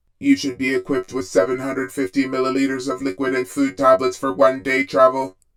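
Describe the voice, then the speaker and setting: The speaker uses a put-on character voice. The delivery is fairly quick with hardly any pauses. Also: man, medium pitch for a man. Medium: read story. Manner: flat, procedural, impersonal.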